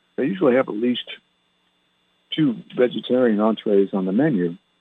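Lively intonation and a moderate pace from a man with a medium-pitched voice. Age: 60s. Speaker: radio host and minister. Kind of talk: casual talk show monologue with prayer. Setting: home studio, broadcasting online radio. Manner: conversational, rambling.

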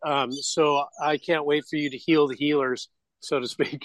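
In an unremarkable speaking voice, a man talks fairly slowly at a fairly high pitch, the sound dry and close with no echo. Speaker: radio show host. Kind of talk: casual interview.

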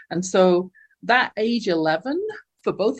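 Somewhat breathy, a woman speaks with an English accent. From England. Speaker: life coach. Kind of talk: interview testimony.

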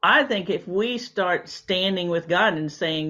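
A woman's voice with vocal fry at a moderate pace. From Louisiana. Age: 60s. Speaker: naturopathic doctor. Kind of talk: casual interview chat. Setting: video call.

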